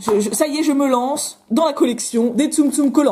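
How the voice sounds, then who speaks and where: Loud and animated, the voice moves with lively intonation over noticeable background noise. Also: woman. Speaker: YouTuber. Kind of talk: toy unboxing vlog. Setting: at home, window open.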